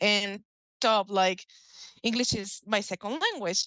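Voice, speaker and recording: Against a quiet background, a woman with a Mexican accent speaks in a bright, sharp tone at a fairly high pitch with fairly even intonation, the sound dry and close with no echo. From Mexico. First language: Spanish. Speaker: author and folk magic practitioner. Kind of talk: casual interview. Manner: halting.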